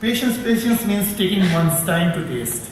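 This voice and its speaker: A man with an Indian accent at a fairly quick pace, ordinary pitch variation, audible room echo and noticeable background noise. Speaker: professor and researcher. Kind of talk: conference talk. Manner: fast; halting, many repetitions.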